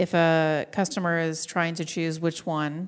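Over a quiet background, a woman with a fairly low pitch talks at a fairly slow pace in a normal speaking voice. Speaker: podcast host. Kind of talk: interview. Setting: live at a conference.

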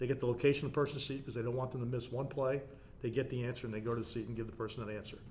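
Talking at a very fast pace, a man with an American accent sounds somewhat breathy. His intonation is monotone and flat. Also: medium pitch for a man. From New Jersey (South Orange). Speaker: stadium facility manager and lecturer. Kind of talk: casual interview.

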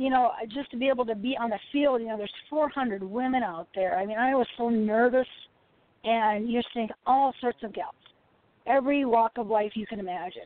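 In an unremarkable speaking voice, a woman talks at a moderate pace with a fairly high pitch and ordinary pitch variation. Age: 50s. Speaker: retired women's football player. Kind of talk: interview.

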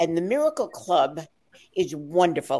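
A woman with an American accent talks fairly slowly in a fairly low pitch with lively intonation, an unremarkable speaking voice. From New York. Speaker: actress. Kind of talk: casual chat.

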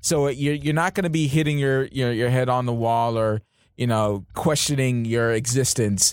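A man speaks in a plain, everyday voice, his loudness staying very even throughout. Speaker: podcast co-host. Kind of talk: casual chat.

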